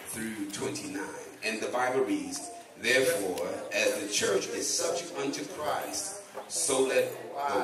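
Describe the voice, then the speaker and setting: There is audible room echo and noticeable background noise. Through it, a man can be heard talking. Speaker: guest pastor. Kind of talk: sermon scripture reading. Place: church.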